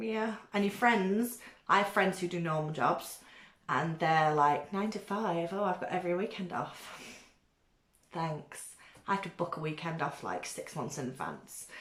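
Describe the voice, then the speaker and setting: In a British accent, a woman talks at a fairly low pitch with ordinary pitch variation. She goes at a fairly slow pace. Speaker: beauty vlogger. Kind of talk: casual chat. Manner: loud.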